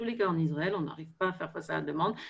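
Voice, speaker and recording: The intonation of this woman's voice is lively. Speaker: equine therapy expert. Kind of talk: online panel discussion. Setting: video call. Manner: halting, many hesitations.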